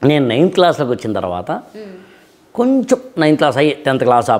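A man speaks at a fairly high pitch, his voice rising and falling in very wide swings. The background is quiet. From coastal Andhra Pradesh, Visakhapatnam; Andhra Pradesh. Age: 40s. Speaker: motivational speaker and civil-service exam trainer; motivational speaker, civil-service exam trainer. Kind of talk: interview. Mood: warm, reflective storytelling. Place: home room.

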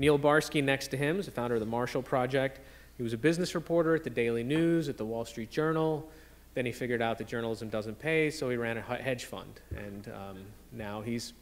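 Speaking at a fairly quick pace, a man varies his pitch in an ordinary way. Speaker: panel moderator. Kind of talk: introductions to a live audience. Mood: light, joking. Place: hall. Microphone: podium.

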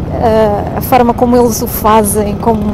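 A woman's voice comes through dry with no echo while loud background noise plays around her. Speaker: motovlogger. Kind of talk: casual vlog chat. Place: motorbike.

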